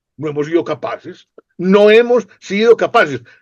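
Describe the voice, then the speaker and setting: This is a man with a high-pitched voice. The sound is dry and close, without echo. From Colombia. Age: 60s. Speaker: political commentator. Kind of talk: interview conversation.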